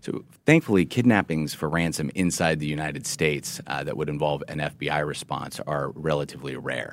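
A man's very deep, low voice with vocal fry, ordinary pitch variation, a fairly quick pace, and hardly any pauses, on a very clean recording with a silent background. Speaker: FBI agent. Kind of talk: interview.

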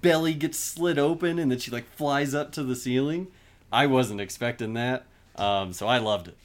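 A normal speaking voice from a man comes through at a medium pitch and moderate pace, with lively intonation on a very clean recording with a silent background. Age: 20s. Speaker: podcaster and IT worker. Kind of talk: casual chat.

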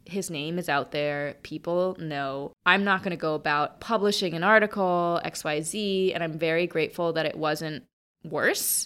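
In a very clean recording with a silent background, a woman with a normal speaking voice talks at a fairly low pitch with ordinary pitch variation. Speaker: founder and speaker on women's finance. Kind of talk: casual interview chat.

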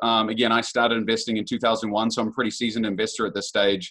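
In a New Zealand accent, a man talks at a very fast pace and a medium pitch. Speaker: real estate investor. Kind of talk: interview. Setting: podcast.

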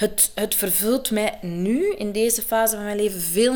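At a fairly slow pace, a woman talks in an ordinary speaking voice, fairly high in pitch with ordinary pitch variation. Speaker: actress and coach. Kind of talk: interview. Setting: at her home.

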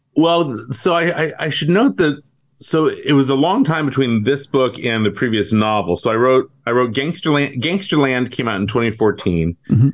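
A man with a plain, everyday voice and an American accent speaks at a medium pitch and moderate pace, with lively intonation and hardly any pauses. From US West Coast, San Francisco Bay Area. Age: 50s. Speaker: crime novelist. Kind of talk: interview about his book.

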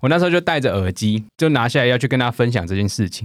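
With very wide pitch swings, a man speaks at a very fast pace in a very clean recording with a silent background. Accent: Taiwanese. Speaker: podcast co-host. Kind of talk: casual chat.

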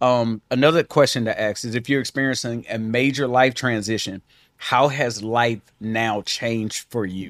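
A normal speaking voice moves at a moderate pace with fairly even intonation, the sound dry and close with no echo on a very clean recording with a silent background. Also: man. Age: 40s. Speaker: marriage podcast co-host. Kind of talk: casual chat.

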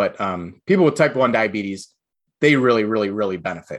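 Against a quiet background, a man talks in a normal speaking voice. His pitch is fairly low and his intonation lively. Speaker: physician. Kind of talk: casual interview chat. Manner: joking, casual.

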